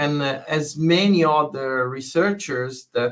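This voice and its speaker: A man with an Italian accent and ordinary pitch variation. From southern Italy (Bari). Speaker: fire safety researcher, professor. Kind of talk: interview. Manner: hesitant, many fillers.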